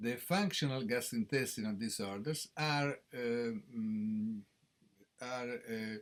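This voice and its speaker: Speaking very slowly, a man with an Italian accent uses a medium-pitched voice. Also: ordinary pitch variation. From Italy, Rome. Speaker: professor of gastroenterology. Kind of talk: conference lecture. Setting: conference stage with audience. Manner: halting, many hesitations.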